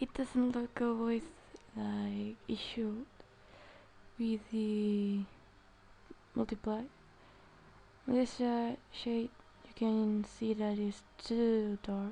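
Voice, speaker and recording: Her voice is somewhat breathy and fairly high for a woman, flat and monotone, delivered at a very slow pace with long, frequent pauses. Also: big swings in loudness. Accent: non-native. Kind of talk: art tutorial narration. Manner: hesitant, many filler sounds.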